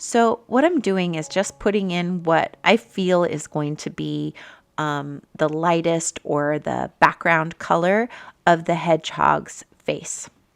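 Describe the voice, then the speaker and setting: A woman with a fairly low pitch speaks very slowly in a calm tone, with ordinary pitch variation, on a very clean recording with a silent background. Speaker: art teacher. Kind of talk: tutorial. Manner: halting.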